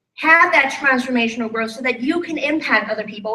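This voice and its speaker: In a room with audible echo, a woman speaks in a raised, projected voice that is high for a woman, with lively intonation and a bright, sharp tone. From Thailand. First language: Thai. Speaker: life and business coach. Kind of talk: motivational talk. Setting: stage with live audience. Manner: animated.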